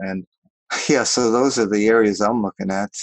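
A man with an American accent, fairly low pitch, an unremarkable speaking voice, a fairly quick pace and fairly even intonation, recorded dry and close with no echo against a quiet background. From New York. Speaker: business founder and vacation rental host. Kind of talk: interview.

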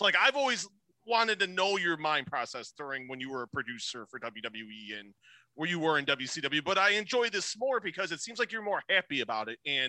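A man with a Chicago accent speaks at a fairly quick pace in a high, bright, sharp voice with very wide pitch swings, recorded dry and close with no echo. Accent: Chicago-area American. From US Midwest, Chicago. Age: 40s. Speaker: podcast host. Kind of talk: casual interview chat. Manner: upbeat, chatty, informal.

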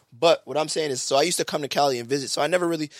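A man speaks with a New York accent and ordinary pitch variation. The recording is very clean with a silent background, and the sound is dry and close with no echo. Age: 30s. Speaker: podcast co-host. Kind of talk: casual chat. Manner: fast talker.

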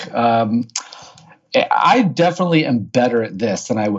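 Lively intonation in a Midwestern American accent at a fairly slow pace, with noticeable background noise. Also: man. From US Midwest, St. Louis, Missouri. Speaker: author and marketer, former accountant. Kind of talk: podcast interview.

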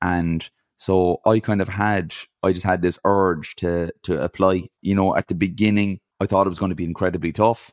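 On a very clean recording with a silent background, a man with an Irish accent and a very deep, low voice speaks with fairly even intonation. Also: moderate pace, dry, close sound with no echo. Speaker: ultra-endurance athlete and speaker. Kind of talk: casual interview.

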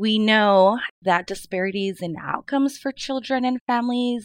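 A woman with a West Coast accent speaks at a fairly high pitch and moderate pace, using ordinary pitch variation, in a dry, close sound with no echo. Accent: American West Coast. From Mid-Willamette Valley, Oregon. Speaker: early learning partner engagement specialist. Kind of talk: panel interview.

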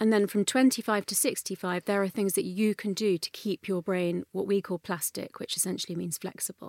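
With a London accent, a woman at medium pitch talks with hardly any pauses, the sound dry and close with no echo and the recording very clean against a silent background. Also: fairly quick pace. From North London, England. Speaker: neuroscientist and author. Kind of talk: interview.

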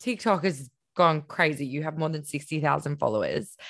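A woman with an Australian accent is heard in a very clean recording against a silent background. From Queensland, Australia. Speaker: podcast host. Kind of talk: casual interview.

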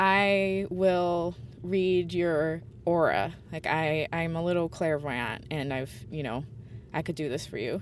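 Music plays in the background. A woman talks in a fairly low voice. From grew up abroad in a diplomatic family. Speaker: folklorist. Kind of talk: recorded personal story.

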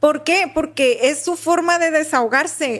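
Her pace is fairly slow, and this woman's pitch varies in an ordinary way. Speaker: university professor and podcast co-host. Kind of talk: casual chat. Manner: wordy, lots of synonyms.

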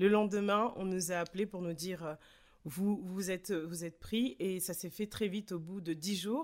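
The woman's pitch is medium, with ordinary variation. She talks at a moderate pace. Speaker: arts project founder. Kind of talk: interview. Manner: halting, many fillers.

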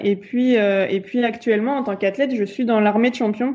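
This woman's voice has a dark, mellow tone. She speaks at a moderate pace. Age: 20s. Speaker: elite sprint kayaker. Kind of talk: interview.

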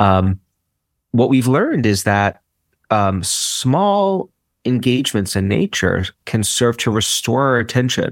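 A man talks in a plain, everyday voice at medium pitch and a fairly slow pace, his intonation lively and his loudness very even. The recording is very clean with a silent background, the sound dry and close with no echo. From US, Brooklyn, New York. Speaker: psychology professor and author. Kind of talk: interview.

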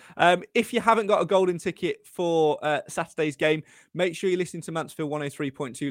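With a normal speaking voice, a man talks at a moderate pace and a fairly high pitch, with hardly any pauses. The sound is dry and close, with no echo. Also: very clean recording, silent background. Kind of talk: live football commentary. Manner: brisk, fluent play-by-play.

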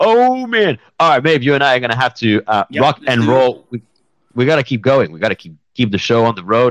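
A man with a medium pitch speaks fairly quickly in an animated tone, his pitch swinging very widely. The sound is dry and close, with no echo. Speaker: podcast host. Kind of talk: casual chat. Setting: home studio with new mic. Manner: animated, joking.

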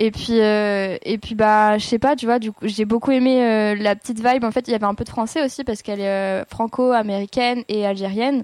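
In a plain, everyday voice, a woman with a fairly high pitch speaks fairly quickly with fairly even intonation and hardly any pauses, on a very clean recording with a silent background. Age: 20s. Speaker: singer and guitarist. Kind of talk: casual chat.

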